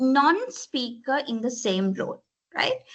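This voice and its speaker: A woman speaks at a high pitch with a Tamil accent. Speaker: corporate language trainer. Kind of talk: presentation. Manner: frequent fillers, mixes Sinhala and English.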